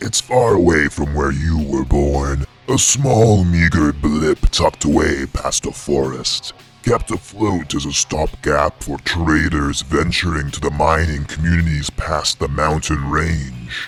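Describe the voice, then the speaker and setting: A man puts on a character voice with a very deep, low pitch while music plays clearly in the background. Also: fairly slow pace. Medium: audio drama. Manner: smooth, cryptic, condescending.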